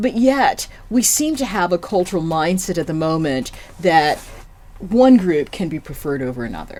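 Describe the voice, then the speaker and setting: Someone with an American accent talks at a moderate pace. The pitch swings very widely. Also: woman, fairly low pitch for a woman. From United States. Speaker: general manager of a development centre. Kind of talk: podcast interview.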